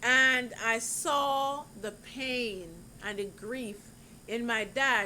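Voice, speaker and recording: A woman speaks at a fairly high pitch with ordinary variation. Audible room echo surrounds her voice. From Jamaica. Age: 60s. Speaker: YouTuber giving relationship advice. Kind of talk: vlog monologue.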